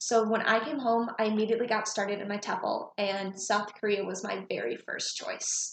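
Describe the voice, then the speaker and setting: A woman's fairly high-pitched voice at a moderate pace, with fairly even intonation and hardly any pauses. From Michigan, US Midwest. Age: 20s. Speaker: teaching job applicant. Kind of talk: video job application, prepared speech.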